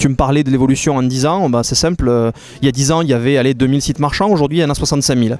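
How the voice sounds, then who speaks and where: In a southern French accent, a man talks very fast at a fairly high pitch, his intonation fairly even and his loudness very even, over noticeable background noise. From Béziers, southern France. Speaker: company founder. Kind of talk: interview answer.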